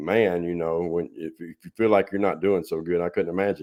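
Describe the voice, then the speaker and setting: A man with a Southern US accent talks at a fairly quick pace with fairly even intonation, the background quiet. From Tennessee. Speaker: podcast host. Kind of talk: casual chat.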